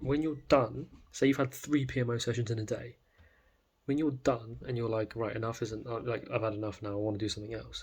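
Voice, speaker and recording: At a fairly quick pace, a man with a medium pitch speaks in a somewhat breathy voice. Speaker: self-improvement vlogger. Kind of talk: casual monologue. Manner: fast; animated.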